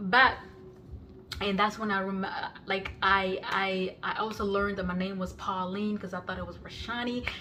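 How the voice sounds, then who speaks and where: Over noticeable background noise and audible room echo, a woman speaks with monotone, flat intonation. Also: medium pitch for a woman, moderate pace. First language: non-English (Kenyan language). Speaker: YouTuber sharing life story. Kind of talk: personal testimony. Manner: halting, many fillers and restarts.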